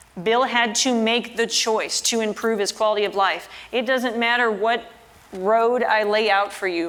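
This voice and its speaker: A woman speaks at a moderate pace with a fairly high pitch and very even loudness, over noticeable background noise. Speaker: fitness trainer. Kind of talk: motivational talk. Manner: animated.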